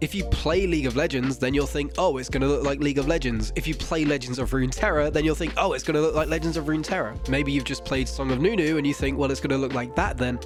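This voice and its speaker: A man rattles off words at a very fast pace with music in the background. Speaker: gaming commentator. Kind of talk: video essay narration.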